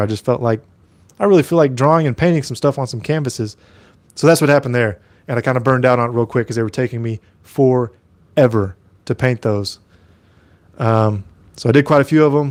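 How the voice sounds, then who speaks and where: In a very clean recording with a silent background, a man with an American accent talks very fast at a medium pitch, broken by long, frequent pauses. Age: 30s. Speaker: mask maker and YouTuber. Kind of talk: casual live stream chat. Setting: live stream. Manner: loud.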